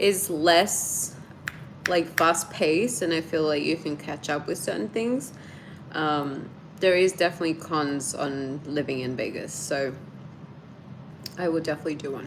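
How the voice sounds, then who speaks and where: A woman with a slight Australian accent and a very deep, low pitch, long, frequent pauses and noticeable background noise. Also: ordinary pitch variation, moderate pace. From Australia, Sydney. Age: 30s. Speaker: YouTuber. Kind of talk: live stream chat.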